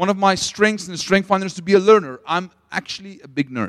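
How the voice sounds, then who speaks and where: A man's high-pitched voice. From South Africa, Potchefstroom. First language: Afrikaans. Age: 30s. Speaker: missions leader and preacher. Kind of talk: sermon. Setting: stage with audience.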